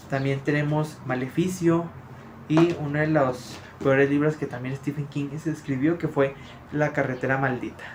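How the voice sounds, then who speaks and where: A man's somewhat breathy voice in a flat monotone. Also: fairly high pitch for a man, moderate pace. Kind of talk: casual talk to camera. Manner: stammering, many filler words.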